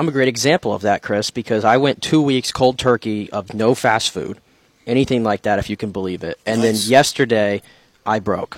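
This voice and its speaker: A man with an unremarkable speaking voice, medium pitch and a fairly quick pace, in a dry, close sound with no echo. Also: ordinary pitch variation. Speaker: sports reporter co-host. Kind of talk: sports talk radio.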